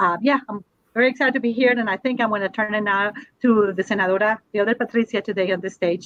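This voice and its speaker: A woman with a Spanish accent speaks at a very fast pace and medium pitch with fairly even intonation, the sound dry and close with no echo. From Colombia, Bogota. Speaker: university administrator, panelist. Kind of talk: panel discussion.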